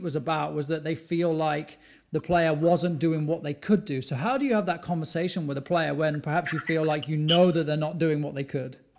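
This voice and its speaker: A man with a British accent talks at a fairly quick pace with hardly any pauses. His pitch is fairly high, with ordinary pitch variation. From UK. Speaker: podcast host and youth soccer coach. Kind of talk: casual interview.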